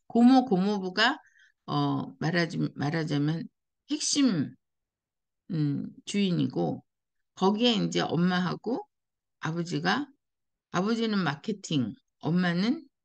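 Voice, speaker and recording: The speech comes at a very slow pace with very wide pitch swings over a quiet background. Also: woman, long, frequent pauses. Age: 60s. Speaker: life-design coach and YouTuber. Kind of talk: personal advice monologue.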